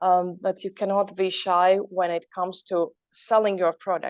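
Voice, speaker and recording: In a Latvian accent, a woman talks at a moderate pace with medium pitch and fairly even intonation, in a dry, close sound with no echo and a quiet background. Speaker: entrepreneur. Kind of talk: motivational talk.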